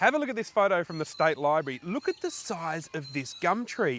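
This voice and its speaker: Here a man speaks in an Australian accent at a fairly quick pace. His pitch is fairly high, and his intonation is lively. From South Australia. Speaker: travel show host. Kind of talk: presenting to camera. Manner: animated.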